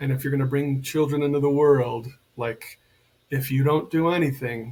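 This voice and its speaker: The speaker has an American accent and a somewhat breathy voice. The pace is moderate. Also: man. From United States. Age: 60s. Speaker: men's coach and healer. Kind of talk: podcast interview.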